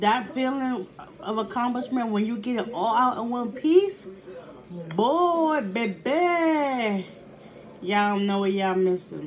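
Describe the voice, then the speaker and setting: A woman talks at a very slow pace. Light background noise can be heard. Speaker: food vlogger. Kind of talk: casual mukbang vlog chat. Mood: playful, pleased. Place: home room. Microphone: phone near.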